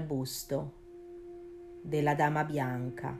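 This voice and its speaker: A woman speaks with a very deep, low pitch and fairly even intonation. Her tone is dramatic, and music plays in the background. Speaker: podcast host. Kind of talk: scripted ghost story narration, spooky and hushed. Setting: studio. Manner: slow, suspenseful, dramatic.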